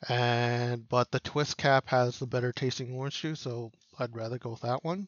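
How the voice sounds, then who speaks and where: A man talks in an ordinary speaking voice at a medium pitch and a moderate pace. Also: fairly even intonation. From Canada. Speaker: podcast co-host. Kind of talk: casual chat. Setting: livestream on Twitch.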